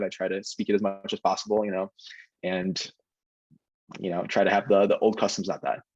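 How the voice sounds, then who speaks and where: The speech runs at a very fast pace in a dry, close sound with no echo. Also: man. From Ohio, Cleveland. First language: Ukrainian. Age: 20s. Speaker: medical student. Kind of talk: casual chat.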